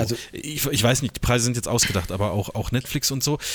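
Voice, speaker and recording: A man talks at a medium pitch, his pitch varying in an ordinary way. The recording is very clean, with a silent background. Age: 30s. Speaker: podcast co-host, photographer. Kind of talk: casual chat. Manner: halting, many fillers and repeats.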